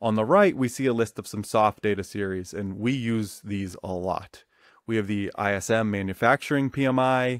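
An unremarkable speaking voice from a man, fairly low in pitch, at a moderate pace with ordinary pitch variation, dry with no echo over a quiet background. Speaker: economics educator. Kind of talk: tutorial. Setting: studio recording with slides. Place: home room. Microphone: webcam.

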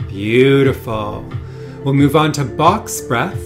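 A man speaks very slowly. Behind him, background noise is noticeable. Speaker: breathwork guide, wellness studio founder. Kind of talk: guided breathwork instruction. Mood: calm, soothing, meditative. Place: home room.

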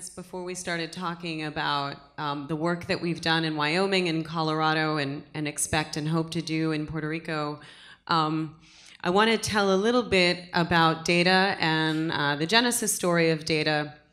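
Delivered at a moderate pace, a plain, everyday voice speaks with fairly even intonation. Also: woman, fairly low pitch for a woman. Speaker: blockchain advocacy group co-founder. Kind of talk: conference panel talk. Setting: stage with audience. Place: stage. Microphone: handheld.

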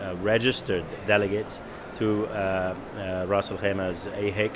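The man's voice is fairly low-pitched and monotone, with flat intonation. Noticeable background noise sits underneath. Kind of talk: interview answer. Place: hall. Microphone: handheld.

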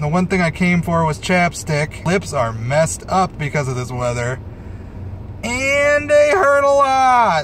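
The sound is dry with no echo, over light background noise. A man speaks fairly slowly at a high pitch. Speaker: vlogger. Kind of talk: casual vlog chat. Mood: wry, mildly exasperated. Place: car. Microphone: phone near.

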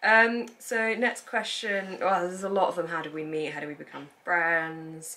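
At a moderate speed, a woman is talking. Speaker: book channel host. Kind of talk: casual Q&A chat. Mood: cheerful, laughing. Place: home room.

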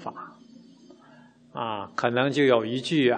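A man's voice over faint music in the background. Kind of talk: sermon. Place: hall. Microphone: studio mic.

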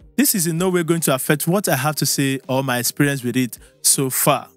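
At a moderate pace, a man speaks in a dry sound with no echo as faint music plays in the background. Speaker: tech reviewer. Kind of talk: product review vlog. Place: studio. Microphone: studio mic.

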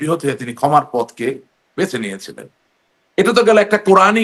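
A man speaks in a high pitch. His pitch swings very widely. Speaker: politician. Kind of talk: political talk show interview.

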